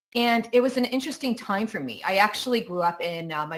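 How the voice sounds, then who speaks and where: In a very clean recording with a silent background, a woman with an American accent talks at a fairly quick pace with ordinary pitch variation. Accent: American-sounding, Croatian accent dropped. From Croatia. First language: Croatian. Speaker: keynote speaker, digital policy advisor. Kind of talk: keynote talk.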